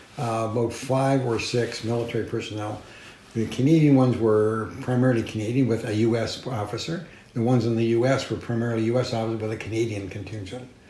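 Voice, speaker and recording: A man speaks very fast at a medium pitch with fairly even intonation. Audible room echo and noticeable background noise accompany him. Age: 70s. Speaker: former radar technician. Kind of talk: interview testimony. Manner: halting.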